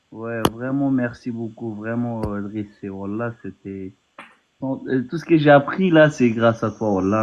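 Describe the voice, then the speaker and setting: Speaking with a non-native accent, a man talks at a very slow pace and a medium pitch with ordinary pitch variation. His loudness swings widely. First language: not French (speaking French). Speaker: naturalisation candidate, former police officer abroad. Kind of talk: casual chat. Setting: phone call. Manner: halting. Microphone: far from the mic, too quiet.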